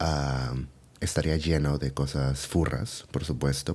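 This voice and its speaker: A soft-spoken man talks with a very deep, low pitch and a dark, mellow tone. His intonation stays fairly even at a moderate pace. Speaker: furry ASMR content creator. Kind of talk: casual Q&A talk to camera. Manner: soft-spoken, friendly.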